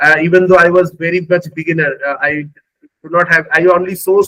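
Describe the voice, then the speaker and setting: In a Bengali accent, a man with a high pitch talks at a fairly quick pace in a monotone, flat intonation. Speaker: AI engineer, former recruiter. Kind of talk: interview testimony. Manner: halting, many fillers.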